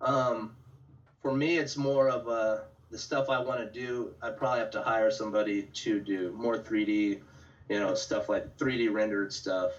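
In a normal speaking voice, a man with an American accent talks at a moderate pace and medium pitch, with ordinary pitch variation. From Central California. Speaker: painter. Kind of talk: casual chat. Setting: video call.

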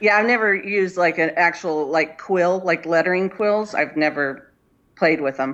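With a Californian accent, a woman speaks at a moderate pace and a fairly low pitch, with ordinary pitch variation and very even loudness. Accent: Californian American. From Inland Empire, Southern California. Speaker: painter and artist. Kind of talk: casual interview chat. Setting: video call from home.

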